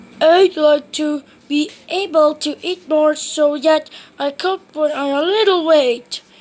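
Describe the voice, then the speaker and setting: A woman puts on a high-pitched character voice. She speaks fairly slowly with fairly even intonation. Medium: read story.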